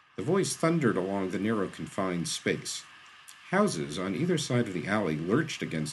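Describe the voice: The clip is plain reading aloud. Nothing more is done with the delivery.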